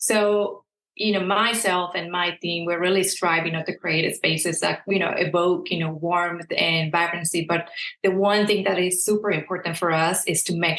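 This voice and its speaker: With a Mexican accent, a woman speaks at a moderate pace in a fairly low voice with fairly even intonation. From southern Mexico, Veracruz. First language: Spanish. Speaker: interior designer. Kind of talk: interview.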